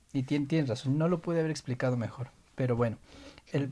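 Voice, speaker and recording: In a very clean recording with a silent background, a man speaks with a dark, mellow, somewhat breathy tone and fairly even intonation. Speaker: podcast co-host. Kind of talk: casual chat.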